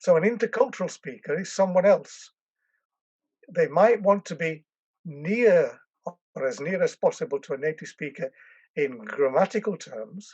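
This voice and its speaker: In an English accent, a man speaks at a high pitch with lively intonation, big swings in loudness, and long, frequent pauses. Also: moderate pace. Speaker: language education professor. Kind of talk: interview. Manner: hesitant, with fillers and restarts.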